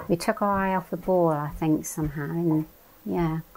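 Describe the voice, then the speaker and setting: With a West Country accent, a woman speaks at a fairly low pitch. Her pitch varies in an ordinary way. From England, Devon (Totnes). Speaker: oral history interviewee. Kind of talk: interview, reminiscence.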